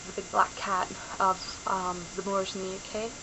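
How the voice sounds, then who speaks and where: At a fairly slow pace, a woman speaks at medium pitch over noticeable background noise. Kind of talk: casual talk to camera. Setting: home camera recording. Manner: rambling.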